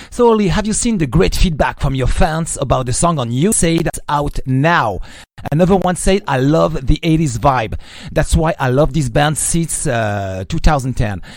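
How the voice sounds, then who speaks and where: A moderate pace, very wide pitch swings and a French accent, with noticeable background noise. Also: man, fairly high pitch for a man. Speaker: radio host. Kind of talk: interview.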